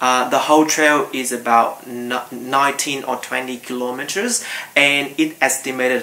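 A man speaks at a fairly slow pace in a monotone, flat delivery. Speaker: travel vlogger. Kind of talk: casual vlog chat. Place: home room.

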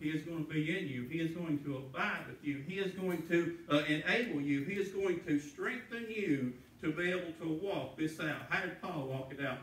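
Hardly pausing, a man with a fairly high pitch speaks over light background noise and audible room echo. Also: ordinary pitch variation, moderate pace. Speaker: preacher. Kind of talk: sermon. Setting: church. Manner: earnest, pleading, pausing to stress points. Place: church. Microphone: camera far.

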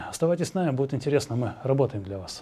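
Speaking at a very fast pace, a man has a fairly high pitch, a somewhat breathy quality and a dark, mellow tone. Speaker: TV host. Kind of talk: TV interview. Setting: studio. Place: studio. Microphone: lapel.

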